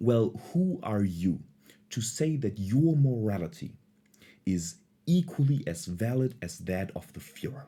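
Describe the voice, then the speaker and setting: A man with a non-native accent speaks at medium pitch and a fairly slow pace, his tone dark, mellow and somewhat breathy. His pitch moves in very wide swings. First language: not English. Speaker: philosophy video creator. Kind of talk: casual lecture.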